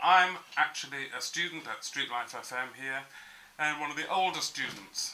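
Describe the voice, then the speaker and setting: Noticeable background noise sits under the speech. The delivery has a moderate pace and ordinary pitch variation. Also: man, fairly high pitch for a man. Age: 60s. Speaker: radio student. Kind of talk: interview.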